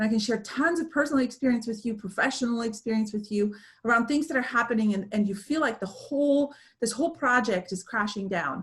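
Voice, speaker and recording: Speaking very fast, a woman with a fairly high pitch sounds somewhat breathy, her pitch varying in an ordinary way. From Romania, then Germany from age 11. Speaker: speaker, business coach. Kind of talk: webinar presentation Q&A. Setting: video call. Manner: animated, many fillers.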